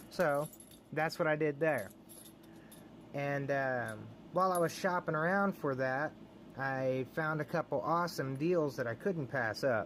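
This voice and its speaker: The speaker, with an American accent, moves at a fairly slow pace. Long, frequent pauses break up the speech. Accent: Texan redneck. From Texas. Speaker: lock picking hobbyist youtuber. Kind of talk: casual show-and-tell video. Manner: animated.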